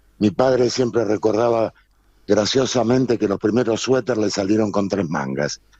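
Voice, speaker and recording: Against noticeable background noise, a man with fairly low pitch and ordinary pitch variation speaks at a moderate pace, the sound dry and close with no echo. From Argentina, Buenos Aires. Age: 60s. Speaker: textile business owner. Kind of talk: interview.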